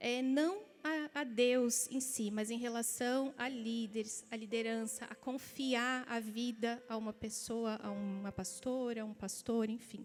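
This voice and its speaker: A woman speaks with a southern Brazilian accent and fairly even intonation. Music plays in the background. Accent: gaúcho. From Rio Grande do Sul, southern Brazil. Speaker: pastor. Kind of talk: sermon; testimony.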